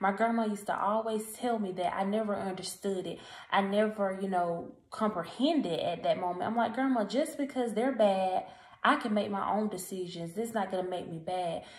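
A woman speaks at a moderate pace with ordinary pitch variation, and the room echo is audible. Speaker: encouragement vlogger. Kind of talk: casual motivational vlog talk. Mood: earnest, encouraging. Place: home room. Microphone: phone near.

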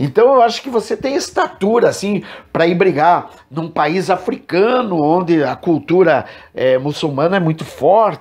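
Against a quiet background, a man with a Brazilian accent and a high-pitched voice speaks at a fairly slow pace. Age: 60s. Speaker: evangelical preacher and program host; evangelical preacher, program host. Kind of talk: religious commentary monologue. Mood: critical, measured. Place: home room. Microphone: earbuds.

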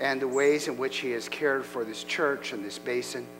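Over background music, a man talks at a moderate pace with fairly even intonation. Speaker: pastor. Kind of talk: announcements and prayer. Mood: warm, then solemn. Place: church.

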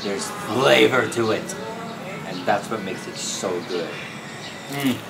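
A man's voice over noticeable background noise. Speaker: food vlogger. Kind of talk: casual vlog chat. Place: market. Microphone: phone near.

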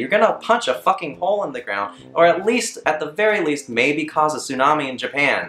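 A man at a moderate pace, faint background music, audible room echo. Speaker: comedy vlogger. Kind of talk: comedic rant vlog. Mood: exasperated, sarcastic. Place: home room. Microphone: camera far.

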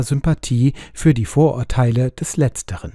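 Here a man talks at a moderate pace. His voice is fairly high-pitched and somewhat breathy. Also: dry, close sound with no echo, very clean recording, silent background. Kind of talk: audiobook reading of a literary short story, narrated aloud. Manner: amateur reader, not a trained speaker.

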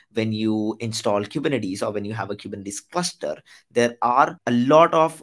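The pace is moderate as a man talks. Little else is heard, as the background stays quiet. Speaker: tech educator. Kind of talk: tutorial.

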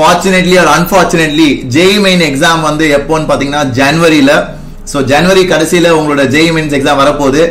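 A man's fairly even intonation. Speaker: online exam coach. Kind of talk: live stream lecture. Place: home room.

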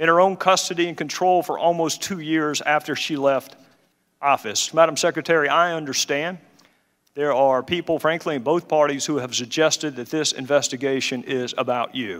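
This man speaks in a Southern US accent at a fairly high pitch with ordinary pitch variation. The recording is very clean, with a silent background. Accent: Southern drawl. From Southern United States. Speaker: congressman, committee chairman, former prosecutor. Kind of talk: opening statement at a congressional hearing. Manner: measured.

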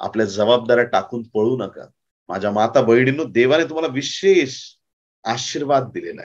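Here a man speaks at a medium pitch with ordinary pitch variation and big swings in loudness. The background stays quiet. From Maharashtra, India. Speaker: pastor. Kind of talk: sermon. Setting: conference with audience. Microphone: lapel.

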